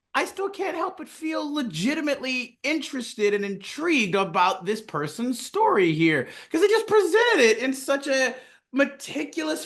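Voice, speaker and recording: The delivery is upbeat and moves at a moderate pace. The background is quiet. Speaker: podcast co-host. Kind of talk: casual podcast talk.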